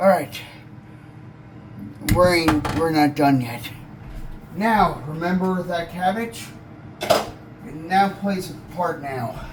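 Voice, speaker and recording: Over noticeable background noise and audible room echo, a man with a high voice speaks very slowly with ordinary pitch variation and long, frequent pauses. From born in this country, not Ireland. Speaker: home cook / cooking channel host. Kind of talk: cooking tutorial. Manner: casual, conversational.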